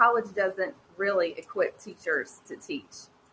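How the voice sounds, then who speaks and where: With an American accent, a woman speaks in a bright, sharp tone at a medium pitch and with ordinary pitch variation. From North Carolina, US. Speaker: former teacher, education advocate. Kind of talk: conference presentation. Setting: online presentation with screen share. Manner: halting.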